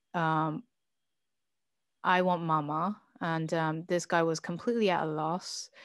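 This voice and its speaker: Against a quiet background, a speaker with a slight British accent talks fairly slowly with fairly even intonation and long, frequent pauses. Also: woman, fairly low pitch for a woman. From Britain. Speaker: podcast guest, channel founder. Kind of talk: interview, personal testimony. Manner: halting, many fillers.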